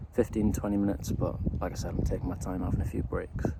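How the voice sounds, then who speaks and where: A man speaks at a fairly low pitch. Noticeable background noise runs underneath. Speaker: hiking vlogger. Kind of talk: outdoor vlog narration. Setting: outdoors on a mountain hike.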